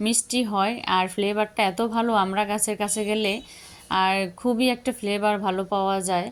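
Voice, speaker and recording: A woman speaks at medium pitch in a monotone, flat intonation. Her loudness stays very even. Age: young. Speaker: home gardening vlogger. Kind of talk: vlog narration. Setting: rooftop garden outdoors.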